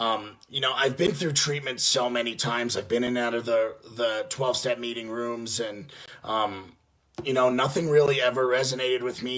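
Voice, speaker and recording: A man speaks at a fairly quick pace with a New York accent. His pitch is medium and his intonation fairly even. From New York (Yonkers, near the Bronx). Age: 20s. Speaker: addiction treatment business development rep in recovery. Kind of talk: personal testimony. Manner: halting, many fillers and false starts.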